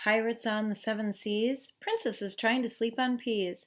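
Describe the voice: The speaker reads aloud plainly, and the intonation stays fairly even.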